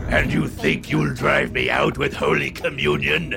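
With loud music in the background, a man does a guttural put-on character voice at a moderate pace. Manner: screeching, laughing.

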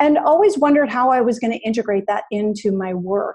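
A woman speaks in an American accent with a fairly high pitch. Her tone is dark and mellow, and her intonation lively. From New England, US. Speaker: digital well-being and ethics advisor. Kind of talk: interview conversation.

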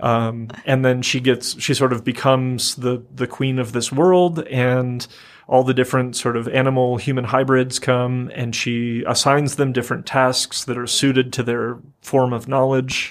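A man's medium-pitched voice, monotone and flat in intonation, at a moderate pace. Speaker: university professor and award-winning scholar. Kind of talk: radio interview, thoughtful academic talk. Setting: radio studio. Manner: measured, reflective, with frequent fillers.

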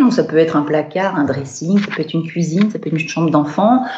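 Noticeable background noise sits behind a woman who talks at a very fast pace. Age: 40s. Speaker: professional home organizer. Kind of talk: remote interview. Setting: remote call. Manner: hesitant, many fillers.

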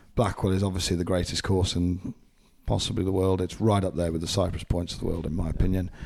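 A man with an English accent talks at a very fast pace. His pitch is very deep and low, with fairly even intonation. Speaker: golf podcast host. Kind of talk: casual interview. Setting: golf club compound during tournament.

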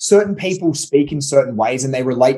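Talking at a fairly quick pace with lively intonation, a man speaks in an Australian accent. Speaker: podcast co-host on marketing. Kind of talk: casual chat.

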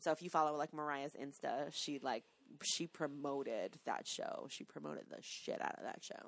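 With a New York accent, a woman speaks with big swings in loudness. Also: moderate pace. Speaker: podcast co-host. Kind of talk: reading aloud; casual chat.

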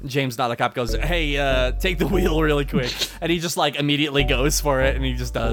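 Natural-voiced reading aloud

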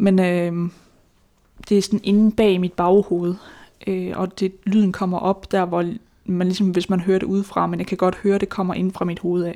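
A woman of medium pitch speaks in a dark, mellow tone with monotone, flat intonation at a moderate pace, on a very clean recording with a silent background. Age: 20s. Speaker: person living with schizophrenia, author. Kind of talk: interview testimony. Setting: home kitchen. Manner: hesitant.

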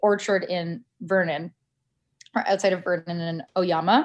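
Over a quiet background, a woman with a Canadian accent and an unremarkable speaking voice talks at a medium pitch and a fairly slow pace. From Canada. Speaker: podcast producer. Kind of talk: interview.

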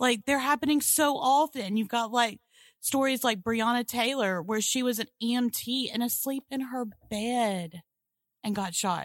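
Recorded very cleanly against a silent background, a woman with a Southern US accent speaks at a fairly slow pace in a fairly high pitch with ordinary pitch variation, the sound dry and close with no echo. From Mississippi, US South. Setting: blanket fort, under a blanket.

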